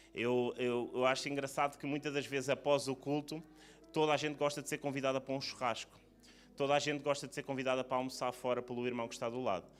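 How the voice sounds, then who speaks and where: Music plays in the background while a man speaks very fast at a medium pitch. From Portugal. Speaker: preacher. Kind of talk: sermon. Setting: church service.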